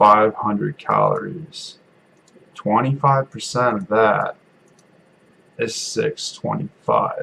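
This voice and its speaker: A man talks at a very slow pace. The sound is dry and close, with no echo. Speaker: fitness content creator. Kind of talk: casual talk to camera. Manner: monotone.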